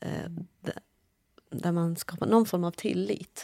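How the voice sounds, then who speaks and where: A woman with a slight non-native accent speaks at a fairly slow pace. The sound is dry and close, with no echo. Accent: slight foreign accent in Swedish. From Iran, grew up partly as refugee in Afghanistan. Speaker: journalist. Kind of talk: conversation.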